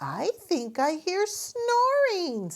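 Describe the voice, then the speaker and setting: Putting on a squeaky character voice, a woman reaches an extremely high pitch with very wide pitch swings. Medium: read story.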